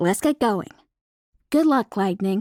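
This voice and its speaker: A woman in a put-on character voice, medium in pitch, with lively intonation, a dry, close sound with no echo, and a very clean recording over a silent background. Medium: read story. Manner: brash, bossy.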